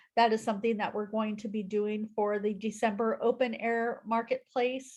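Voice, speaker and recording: Somewhat breathy, a woman with a fairly high pitch speaks at a moderate pace in monotone, flat intonation. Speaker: nonprofit speaker. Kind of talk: presentation on video call. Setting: video call.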